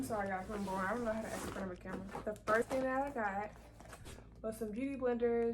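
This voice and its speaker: A woman's very fast speech at a fairly high pitch, with fairly even intonation and noticeable background noise. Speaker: vlogger. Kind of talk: casual haul video. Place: home room. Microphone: phone near.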